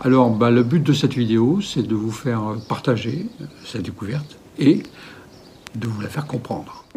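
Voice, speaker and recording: Over noticeable background noise, the speaker talks at a moderate pace with ordinary pitch variation and long, frequent pauses. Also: man, medium pitch for a man. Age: 60s. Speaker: actor and independent researcher. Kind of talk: video explainer. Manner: hesitant, many filler sounds.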